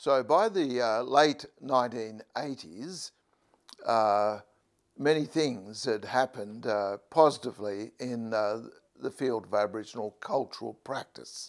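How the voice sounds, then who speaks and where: A man speaks at a very slow pace in a medium pitch with ordinary variation. The background is quiet. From northern New South Wales, Australia. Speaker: curator and activist. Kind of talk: lecture. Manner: halting. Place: home room.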